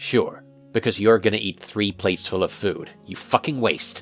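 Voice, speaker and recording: Over faint background music, a woman uses a put-on character voice with a very deep, low pitch at a moderate pace. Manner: irritated, defensive.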